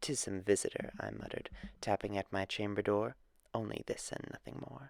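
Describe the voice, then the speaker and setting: A man's voice at a moderate pace, dry and close with no echo. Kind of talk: dramatic poetry reading.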